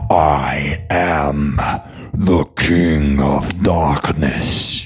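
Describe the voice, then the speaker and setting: Putting on a character voice, a man speaks at a very deep, low pitch. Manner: dramatic, menacing.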